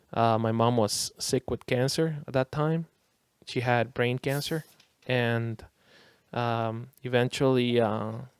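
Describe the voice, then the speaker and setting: A Spanish accent at a very slow pace, with fairly even intonation and a dry, close sound free of echo. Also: man, medium pitch for a man. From Costa Rica. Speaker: DJ. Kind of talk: casual chat.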